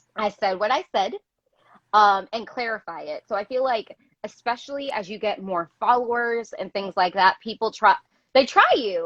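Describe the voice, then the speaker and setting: Animated in tone, a woman speaks at a moderate pace. Her pitch is medium, with ordinary variation. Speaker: teacher and activist. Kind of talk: casual chat. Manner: loud.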